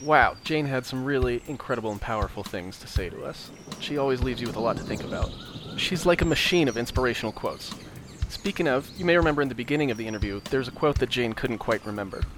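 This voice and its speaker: Talking at a very fast pace, a man with a medium pitch and ordinary pitch variation is heard against noticeable background noise. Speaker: podcast host and interviewer. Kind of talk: interview questions.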